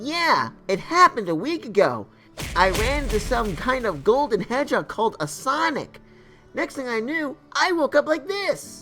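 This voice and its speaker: A man puts on a cartoonish character voice while clear music plays in the background. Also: moderate pace. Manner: casual, upbeat.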